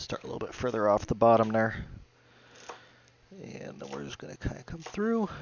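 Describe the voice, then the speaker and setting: A man at a medium pitch with very wide pitch swings, big swings in loudness, a fairly quick pace, long, frequent pauses and noticeable background noise. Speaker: home cooking video host. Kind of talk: cooking tutorial.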